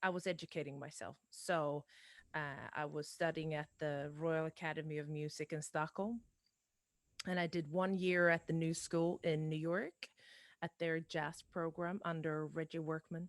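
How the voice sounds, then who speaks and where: A woman speaks in a very deep, low pitch with monotone, flat intonation at a moderate pace. The recording is very clean, with a silent background and a dry, close sound with no echo. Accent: Swedish. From Sweden. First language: Swedish. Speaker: singer-songwriter. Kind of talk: casual interview chat. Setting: live-streamed podcast.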